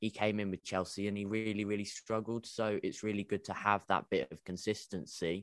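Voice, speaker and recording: Speaking with a British accent, a man delivers his words at a fairly quick pace with hardly any pauses, fairly even intonation, and a fairly low pitch, in a dry, close sound with no echo. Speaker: football fan panelist. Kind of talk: casual group chat about football. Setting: video call.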